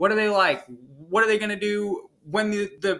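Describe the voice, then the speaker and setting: The man's voice is raised and projected. It is high, with a bright, sharp tone. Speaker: fourth grade teacher. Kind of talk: video lesson for pupils. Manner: fast; casual, filler-heavy.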